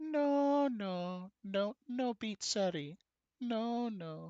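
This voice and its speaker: A put-on character voice from a man, high-pitched and very slow. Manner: exasperated, emphatic.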